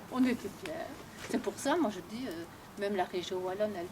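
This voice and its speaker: At a moderate pace, a woman speaks with a medium pitch and ordinary pitch variation. There is noticeable background noise. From Awans, near Liège, Belgium. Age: 70s. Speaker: local resident. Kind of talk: casual conversation.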